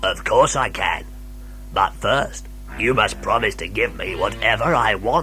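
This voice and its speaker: A man puts on a croaky character voice at a moderate pace, with clear background noise. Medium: read story.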